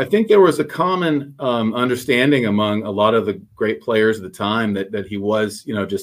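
This man has an unremarkable speaking voice with a fairly low pitch. He talks at a fairly quick pace. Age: 40s. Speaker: baseball card collector and YouTuber. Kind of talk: casual chat.

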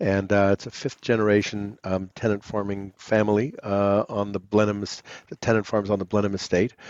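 A man with a New York accent speaks at a moderate pace and a fairly low pitch. His intonation is monotone and flat, the sound dry and close with no echo over a quiet background. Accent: American (New York). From US, New York City (Manhattan). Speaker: distillery founder. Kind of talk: interview.

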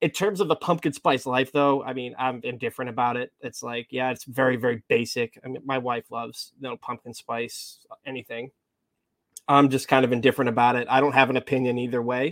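With an American accent and an ordinary speaking voice, a man talks at a fairly quick pace in a medium pitch with fairly even intonation, the sound dry and close with no echo. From Massachusetts. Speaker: podcast co-host. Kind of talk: casual chat.

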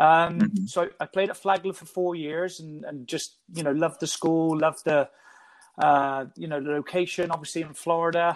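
High pitch from a man at a moderate pace, fairly even intonation, big swings in loudness. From England, Bristol. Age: 50s. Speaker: youth soccer technical director. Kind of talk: podcast interview.

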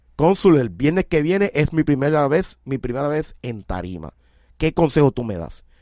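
With very wide pitch swings, a man with a fairly high pitch is heard in a dry, close sound with no echo on a very clean recording with a silent background. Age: 40s. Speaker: music show host and artist mentor. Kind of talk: casual chat.

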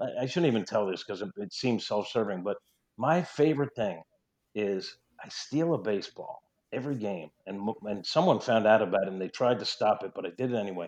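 A man's medium-pitched voice with lively intonation and a slight New York accent. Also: fairly quick pace, quiet background. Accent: slight New York twang. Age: 50s. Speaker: sports sideline reporter. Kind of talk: casual interview chat.

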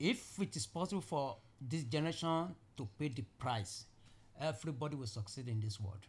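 Somewhat breathy, a man speaks at medium pitch and a moderate pace with lively intonation. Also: very clean recording, silent background. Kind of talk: casual interview conversation.

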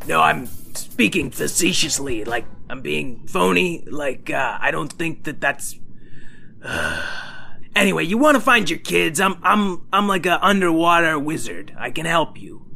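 A man puts on a character voice, pitched fairly high and delivered at a fairly slow pace. Background noise is clearly audible. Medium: audio drama. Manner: snide, sarcastic.

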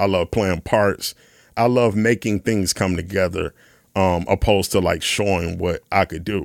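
In a very clean recording with a silent background and a dry, close sound with no echo, a man with an American accent speaks at a moderate pace with a plain, everyday voice, fairly low in pitch and fairly even in intonation. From US Midwest, west side of Chicago. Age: 30s. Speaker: session drummer. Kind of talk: casual chat.

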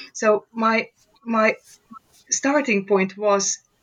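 A woman speaks in a Hungarian accent with ordinary pitch variation. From Romania, Hungarian-speaking village. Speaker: professor. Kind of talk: interview.

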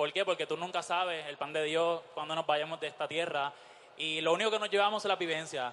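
Speaking at a fairly quick pace, a man with an unremarkable speaking voice keeps a fairly high pitch and fairly even intonation. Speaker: drag performer. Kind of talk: onstage interview.

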